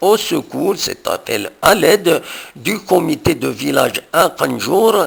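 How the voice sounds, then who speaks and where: Noticeable background noise runs under a man who talks at a very slow pace. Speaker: news presenter. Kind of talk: local news bulletin. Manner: rolled r.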